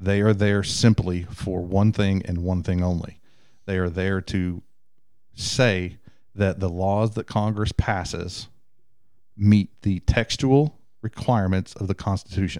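With a Southern US accent, the speaker talks at a fairly slow pace with fairly even intonation in a very clean recording with a silent background. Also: man. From Texas. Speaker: IT engineer. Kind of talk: casual chat.

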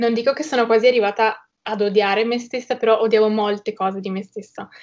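Her pitch sits fairly high. She keeps a flat, monotone delivery throughout. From Italy, Trieste. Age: young. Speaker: social media creator. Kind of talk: interview.

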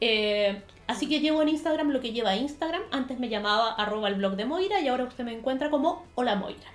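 A woman at a high pitch with lively intonation and a very fast pace, amid noticeable background noise and audible room echo. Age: 30s. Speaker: podcast co-host, beauty influencer. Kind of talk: casual chat.

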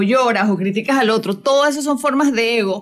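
Speaking in a plain, everyday voice, this speaker moves at a fairly quick pace with ordinary pitch variation. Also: woman. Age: 40s. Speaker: spiritual coach and radio host. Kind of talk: casual chat. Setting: radio studio.

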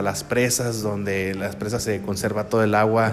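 The speaker's intonation is monotone and flat, with audible room echo and noticeable background noise. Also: man. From Mexico, Sinaloa (San Blas, El Fuerte). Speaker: radio announcer starting a podcast. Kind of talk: casual solo monologue.

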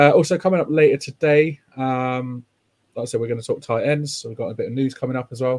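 A man talks very fast at a fairly high pitch with fairly even intonation, in a dry, close sound with no echo. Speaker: podcast host. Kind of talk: casual chat about football.

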